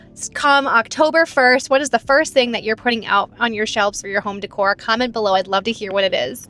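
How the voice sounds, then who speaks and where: With an American accent, a woman speaks at a very fast pace with hardly any pauses, her pitch fairly high and its variation ordinary. Music plays in the background, and the sound is dry and close with no echo. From Michigan, east side. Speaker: thrift reseller vlogger. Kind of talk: casual vlog narration. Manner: animated.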